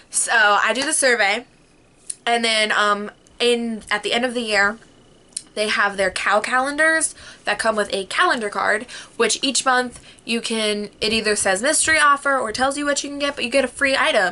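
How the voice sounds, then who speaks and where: A woman speaks in a fairly high pitch with an animated tone. Her pitch variation is ordinary. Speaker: vlogger. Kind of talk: casual chat. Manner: fast.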